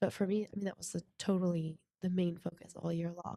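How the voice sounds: At a fast pace, a woman talks with a fairly low pitch, a dark, mellow, nasal tone and little pitch movement, in a dry, close sound with no echo.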